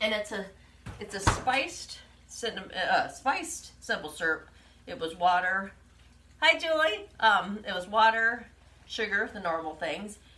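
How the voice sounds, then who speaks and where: A woman's fairly high, fairly slow voice, with very wide pitch swings, big shifts in loudness, long and frequent pauses, and audible room echo. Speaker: home cooking livestream host. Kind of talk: live cooking demonstration.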